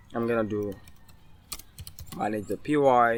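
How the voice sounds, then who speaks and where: Speaking fairly slowly, a man with a medium pitch keeps his intonation fairly even. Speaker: programming tutorial maker. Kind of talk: tutorial.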